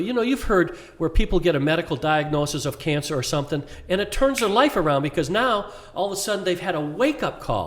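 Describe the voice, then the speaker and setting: A man talks at a fairly quick pace in an enthusiastic tone, his high pitch making very wide swings. Noticeable background noise runs behind him. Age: 70s. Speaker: inspirational speaker. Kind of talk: podcast interview.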